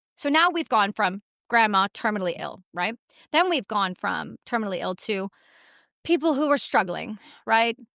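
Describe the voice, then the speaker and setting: A woman with an American accent speaks at a moderate pace in a bright, sharp, animated tone with vocal fry and very wide pitch swings. The recording is very clean and dry, close with no echo, with a silent background. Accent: sounds quite American. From Canada. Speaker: war veteran and activist. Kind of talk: interview conversation. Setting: studio in London. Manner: forceful, animated.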